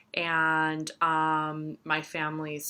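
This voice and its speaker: In an American accent, a woman speaks at a very slow pace. Her pitch is very deep and low, yet her tone is bright and sharp. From US-born, raised partly in Yugoslavia (Croatia). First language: Serbian. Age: 30s. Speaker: astrologer and tarot reader. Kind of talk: casual vlog monologue. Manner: lots of fillers, rambling pace.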